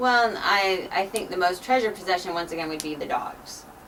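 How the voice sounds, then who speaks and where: Speech at a moderate pace with ordinary pitch variation comes through audible room echo and noticeable background noise. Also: woman. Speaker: math instructor. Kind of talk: casual interview. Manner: loud.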